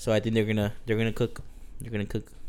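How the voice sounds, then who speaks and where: A man is speaking. His intonation is monotone and flat. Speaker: sports podcast co-host. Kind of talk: casual chat.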